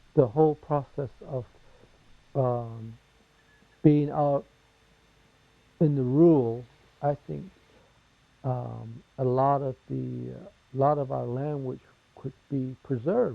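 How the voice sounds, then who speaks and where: A very slow delivery in a Southwestern US accent, broken by long, frequent pauses. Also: man, medium pitch for a man, ordinary pitch variation, big swings in loudness. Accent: Navajo-accented English. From Navajo Nation, US Southwest. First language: Navajo. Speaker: interviewee. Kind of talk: interview testimony.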